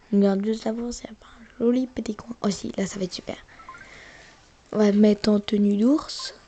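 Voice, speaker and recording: Over noticeable background noise, a woman with a fairly high pitch talks at a moderate pace. Her intonation is fairly even, and she leaves long, frequent pauses. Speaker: gaming youtuber. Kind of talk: casual gameplay commentary.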